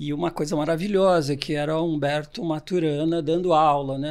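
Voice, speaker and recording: In a very clean recording with a silent background, a man uses a normal speaking voice, fairly high in pitch, at a moderate pace with fairly even intonation. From Brazil, Santos (São Paulo state). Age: 60s. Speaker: organizational consultant. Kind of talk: podcast interview.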